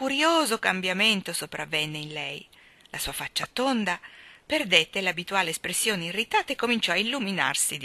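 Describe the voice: The text is read aloud. The reading is plain.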